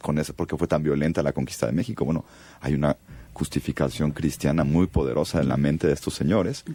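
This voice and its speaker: A man with a Mexico City accent speaks at a very fast pace, his very deep, low voice dark and mellow with vocal fry. His loudness stays very even, with ordinary pitch variation. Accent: Mexico City (chilango). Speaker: film director. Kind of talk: radio interview. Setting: radio studio.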